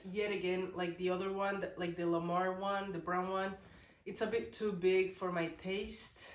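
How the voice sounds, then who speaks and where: A woman is speaking amid noticeable background noise. Audible room echo surrounds her voice. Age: 20s. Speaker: parenting vlogger. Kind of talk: casual vlog talk. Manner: casual, halting with restarts.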